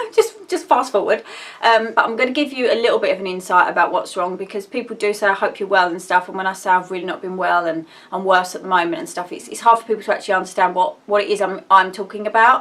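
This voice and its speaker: A woman with an Essex accent, medium pitch, very fast delivery, big swings in loudness and noticeable background noise. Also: ordinary pitch variation. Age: 30s. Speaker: vlogger. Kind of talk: casual personal vlog. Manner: rambling, halting with fillers.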